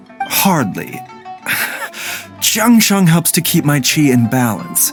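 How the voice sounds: A man does a put-on character voice, fairly high in pitch with big swings, at a slow pace. Faint music plays in the background.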